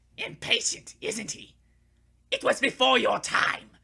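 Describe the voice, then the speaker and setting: A put-on character voice at a moderate pace. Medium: read story. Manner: pompous.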